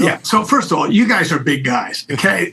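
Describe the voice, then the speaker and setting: Over music in the background, a man speaks at a fairly quick pace with lively intonation. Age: 60s. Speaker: travel company executive. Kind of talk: casual interview.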